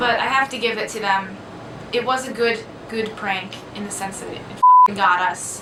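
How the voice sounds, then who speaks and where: With audible room echo and noticeable background noise, a soft-spoken woman talks at a moderate pace and a fairly high pitch. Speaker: vlogger. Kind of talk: casual storytelling. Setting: dorm room.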